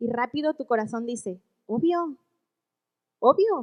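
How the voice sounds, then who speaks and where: A woman's high voice at a fairly slow pace, with lively intonation. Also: dry, close sound with no echo. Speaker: women's ministry speaker. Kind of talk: sermon. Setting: church women's meeting.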